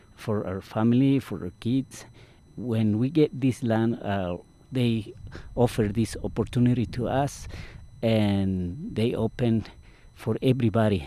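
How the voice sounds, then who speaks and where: A man with a Mesoamerican accent, fairly low-pitched, dark and mellow in tone, ordinary pitch variation, at a fairly slow pace. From Guatemala. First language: Mayan language. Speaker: farmworker community organizer. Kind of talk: interview. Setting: outdoors.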